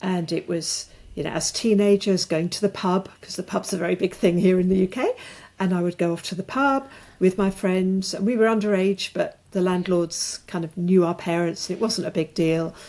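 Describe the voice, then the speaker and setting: A woman's medium-pitched voice with a dark, mellow tone, fairly even intonation and a moderate pace. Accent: British. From rural England. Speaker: author and alcohol-free coach. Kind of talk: podcast interview. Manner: halting.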